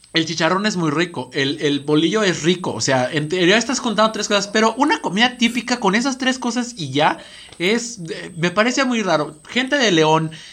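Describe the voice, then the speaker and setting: A man's high-pitched voice with lively intonation at a moderate pace, over noticeable background noise. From Estado de México. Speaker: podcast co-host. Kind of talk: casual chat. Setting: studio.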